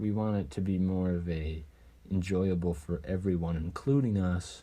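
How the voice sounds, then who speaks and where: A man talks at a moderate pace in a very deep, low voice with a dark, mellow tone. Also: very even loudness. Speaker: podcast co-host. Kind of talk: casual chat. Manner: monotone.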